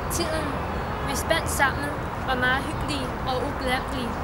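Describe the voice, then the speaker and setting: A woman talks in a Chinese accent over loud background noise. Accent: Chinese-accented Danish. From northeast China. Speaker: university student. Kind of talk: personal tribute. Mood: warm, a bit emotional. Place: garden. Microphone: camera far.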